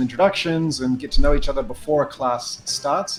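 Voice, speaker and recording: Over music in the background, a man with a New Zealand accent talks at a fairly high pitch with ordinary pitch variation. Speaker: sales training company CEO. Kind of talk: guided tour on a video call. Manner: hesitant, many fillers.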